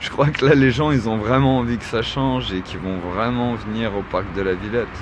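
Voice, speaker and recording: A man at medium pitch and a moderate pace, with ordinary pitch variation, audible room echo and noticeable background noise. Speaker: activist vlogger. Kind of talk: livestream monologue. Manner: casual.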